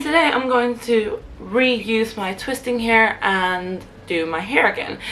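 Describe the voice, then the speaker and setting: Very slow speech from a woman with a fairly high pitch, ordinary pitch variation and noticeable background noise. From half Swedish, half Nigerian. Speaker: hair tutorial vlogger. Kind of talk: casual tutorial talk to camera.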